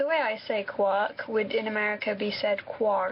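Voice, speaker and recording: Fairly slow delivery with ordinary pitch variation amid noticeable background noise. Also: woman. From England, Somerset (West Country). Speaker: vlogger answering viewer questions. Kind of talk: casual monologue.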